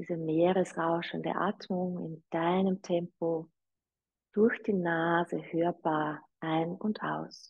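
The speech comes at a very slow pace with fairly even intonation. The background is quiet. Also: woman, fairly low pitch for a woman. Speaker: yoga teacher. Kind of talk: guided meditation and breathing instruction. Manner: slow, calm, soothing, gentle; inviting, soft-spoken. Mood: calm, soothing guidance. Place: home room.

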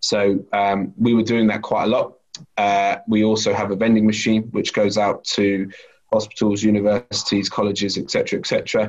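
A man's fairly low voice at a moderate pace, monotone and flat in intonation, with very even loudness and a quiet background. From UK. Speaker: food company sales lead; guest. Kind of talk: interview. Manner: halting. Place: home room. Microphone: webcam.

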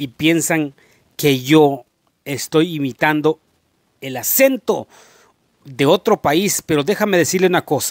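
A man with lively intonation talks fairly slowly at a fairly high pitch, the sound dry with no echo and the background quiet. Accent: slight Mexican. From rural Guatemala. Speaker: YouTuber. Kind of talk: casual vlog monologue. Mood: earnest, explaining, apologetic. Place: home room. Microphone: handheld.

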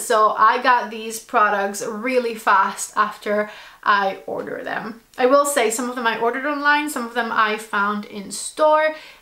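With ordinary pitch variation, a woman's voice is heard with audible room echo. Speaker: lifestyle vlogger. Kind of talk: casual vlog chat. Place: home room.

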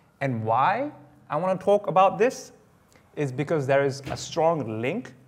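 A man with lively intonation at a fairly slow pace. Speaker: guest lecturer. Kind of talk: lecture. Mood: friendly, smiling opening. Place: hall.

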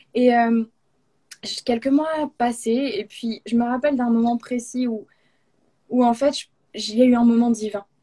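Very slow and marked by long, frequent pauses, the voice has a dark, mellow tone and fairly even intonation against a quiet background. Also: woman, high pitch for a woman. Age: 20s. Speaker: speaker. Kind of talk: testimony. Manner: halting. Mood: warm, earnest. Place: home room. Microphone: video call.

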